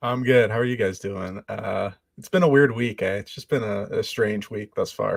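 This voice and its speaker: A man with a slight Canadian accent, moderate pace and big swings in loudness. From Canada. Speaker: podcast guest. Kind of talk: casual chat.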